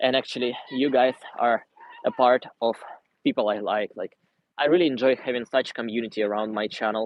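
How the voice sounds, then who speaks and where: A man speaks with a Russian accent. His intonation is fairly even. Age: 20s. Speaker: vlogger. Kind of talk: livestream Q&A and city tour. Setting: outdoors walking in city. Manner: casual, conversational.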